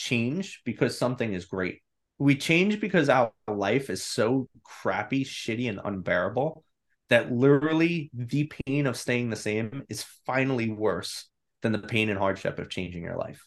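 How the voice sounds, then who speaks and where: With an American accent, a man uses an ordinary speaking voice at a moderate pace and lively intonation. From New York. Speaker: psychotherapist and mindset coach. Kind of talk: interview.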